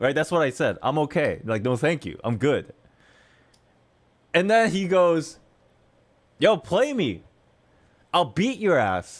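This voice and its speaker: This man's animated voice is fairly high-pitched, with very wide pitch swings and some vocal fry. He moves at a fairly slow pace, leaving long, frequent pauses. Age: 30s. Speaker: gaming streamer. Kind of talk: casual storytelling on a livestream.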